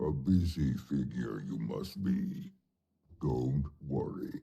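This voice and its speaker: A man puts on a character voice. It sits at a very deep, low pitch. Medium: video game. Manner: measured, formal.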